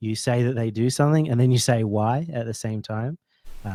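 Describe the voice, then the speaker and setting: A man talks in an Australian accent at a fairly quick pace. His voice is medium in pitch and dark and mellow, with ordinary pitch variation. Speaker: esports caster. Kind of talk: casual coaching chat.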